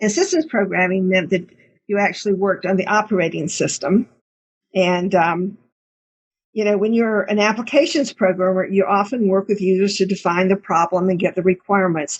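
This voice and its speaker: A woman with an American accent speaks at a fairly quick pace and a medium pitch, with ordinary pitch variation. Her voice is somewhat breathy, and her loudness stays very even. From US South, Middle Georgia. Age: 70s. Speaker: retired computer programmer. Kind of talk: talk to students.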